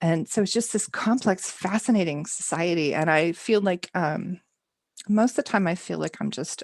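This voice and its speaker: A woman with an American accent speaks at a moderate pace and fairly low pitch, her intonation lively, in a dry, close sound with no echo. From Texas. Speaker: homesteader and novelist. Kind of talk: podcast interview answer.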